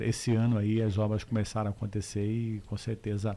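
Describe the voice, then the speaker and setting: A man's fairly low, dark and mellow voice at a moderate pace, with a strong Mato Grosso do Sul accent. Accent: Corumbá accent, strong and lifelong. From Corumbá, Mato Grosso do Sul, Brazil. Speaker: politician. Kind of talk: radio interview. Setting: radio studio. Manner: hesitant, many fillers.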